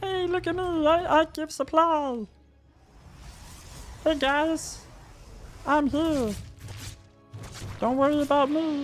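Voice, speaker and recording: A put-on character voice, high-pitched and fairly slow, with long, frequent pauses and faint music in the background. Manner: meek, don't-worry-about-me energy.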